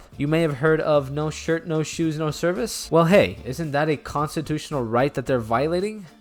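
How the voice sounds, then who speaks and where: Music plays in the background as a man talks at a moderate pace. His pitch is fairly high. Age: 20s. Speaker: commentary youtuber. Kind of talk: comedic commentary.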